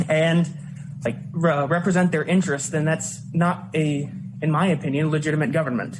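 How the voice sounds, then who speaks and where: Over noticeable background noise, a man with an American accent talks with ordinary pitch variation. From Indiana, Lafayette. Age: 20s. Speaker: student giving public comment. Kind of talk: public hearing testimony. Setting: public hearing on a college campus. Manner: halting, many fillers.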